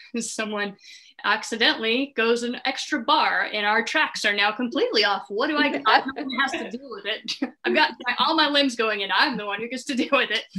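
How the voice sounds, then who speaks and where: Over noticeable background noise, a woman speaks at high pitch with ordinary pitch variation. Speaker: touring drummer in a worship band. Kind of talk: interview. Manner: deliberately slowed cadence.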